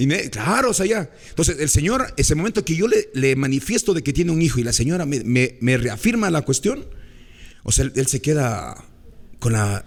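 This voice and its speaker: A man's fairly high-pitched voice with very wide swings in pitch. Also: moderate pace. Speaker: radio broadcaster. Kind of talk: storytelling in interview.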